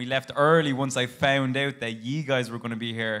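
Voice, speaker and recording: A man with an Irish accent, very fast pace, medium pitch and monotone, flat intonation. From Ireland. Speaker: audience member. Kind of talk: audience question. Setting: stage with audience.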